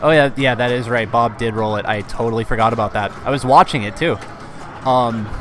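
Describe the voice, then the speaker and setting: Over noticeable background noise, a man's intonation stays fairly even. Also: medium pitch for a man, fairly quick pace. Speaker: pinball stream commentator. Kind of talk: live commentary. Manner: hesitant, many fillers.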